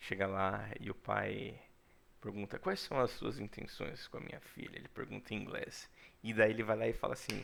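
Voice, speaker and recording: The man's tone is animated. The recording is very clean, with a silent background. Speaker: English teacher. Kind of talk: lecture.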